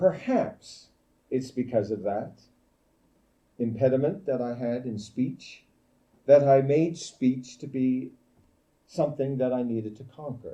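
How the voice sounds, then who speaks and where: Speaking at a fairly slow pace with long, frequent pauses, a man with a medium pitch and a dark, mellow tone sounds confident, his pitch varying in an ordinary way and his loudness swinging widely. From Newfoundland, Canada. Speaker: guest speaker at a church camp meeting. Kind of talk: sermon.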